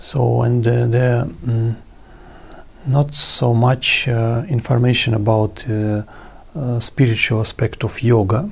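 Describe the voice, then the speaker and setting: With a Russian accent, a man speaks at a very slow pace in a somewhat breathy, medium-pitched voice with ordinary pitch variation. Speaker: yoga guru. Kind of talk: interview. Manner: halting, many fillers.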